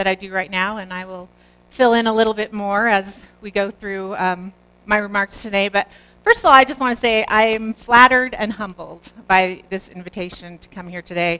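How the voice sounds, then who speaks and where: A woman is speaking with a bright, sharp tone. Her intonation stays fairly even. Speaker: guest. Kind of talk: seminar talk. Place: classroom.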